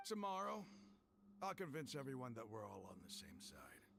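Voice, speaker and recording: A raspy, put-on character voice from a man at medium pitch, with very wide pitch swings and a moderate pace. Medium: video game.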